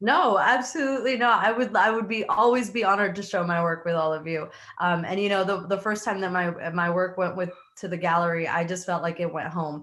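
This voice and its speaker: Against noticeable background noise, a woman of medium pitch talks at a fairly quick pace with ordinary pitch variation. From Mexico, raised in US. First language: Spanish. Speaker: artist. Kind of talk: Q&A answer.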